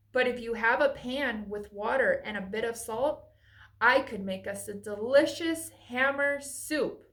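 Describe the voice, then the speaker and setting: Putting on a character voice, a woman speaks at a moderate pace in a high pitch. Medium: read story. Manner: relaxed, easygoing.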